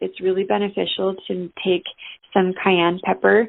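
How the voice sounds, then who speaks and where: A woman with a plain, everyday voice speaks at a moderate pace, her fairly low pitch held to fairly even intonation. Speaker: natural health coach. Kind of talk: informational talk. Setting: phone call.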